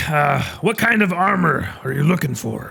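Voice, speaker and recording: Putting on a character voice, a man speaks at a moderate pace with a fairly high pitch. His delivery is raspy, with lively intonation. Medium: actual play. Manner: hesitant, halting, full of uh and um.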